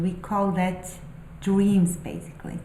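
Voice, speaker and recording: A woman's medium-pitched voice at a very slow pace, with audible room echo and noticeable background noise. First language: not English. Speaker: spiritual vlogger and aspiring novelist. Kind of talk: casual monologue, musings. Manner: halting, many fillers.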